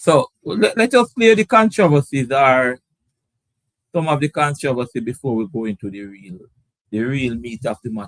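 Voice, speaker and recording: With a dry, close sound and no echo, a man at medium pitch makes very wide pitch swings and big swings in loudness. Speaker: cricket show host. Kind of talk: live stream commentary chat. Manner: slow; hesitant, repetitive.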